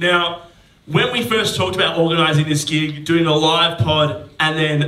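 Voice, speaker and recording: A man with an Australian accent talks at a moderate pace in a fairly high pitch, with audible room echo and noticeable background noise. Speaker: comedian podcast host. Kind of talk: live podcast banter. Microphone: poor audio quality from faulty recorder.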